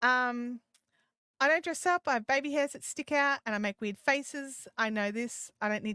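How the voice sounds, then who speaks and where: With an Australian accent, a woman talks at a moderate pace in a high voice with ordinary pitch variation and big swings in loudness, recorded very cleanly against a silent background with a dry, close sound and no echo. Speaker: live streaming and YouTube coach. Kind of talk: live stream Q&A chat. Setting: live stream. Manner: casual, halting with repetitions.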